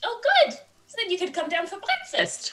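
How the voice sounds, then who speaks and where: A female-sounding voice goes squeaky and extremely high-pitched in a put-on character voice, moving at a fairly quick pace. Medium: actual play. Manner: polite, measured.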